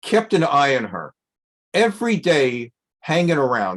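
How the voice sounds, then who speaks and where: A man with an American accent speaks over a quiet background. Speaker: rabbi teaching Torah class. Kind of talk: lecture. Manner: conversational, with filler hesitations.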